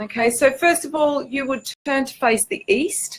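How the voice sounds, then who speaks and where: A woman speaks with an Australian accent. Her pitch is high. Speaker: spiritual teacher and author. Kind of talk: informal spiritual talk to camera. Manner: hesitant, many fillers (um, okay).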